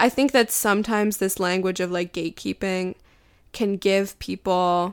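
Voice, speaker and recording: In a very clean recording with a silent background, a woman with a normal speaking voice and medium pitch speaks at a moderate pace with fairly even intonation. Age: 20s. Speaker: cultural critic and essayist. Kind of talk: interview.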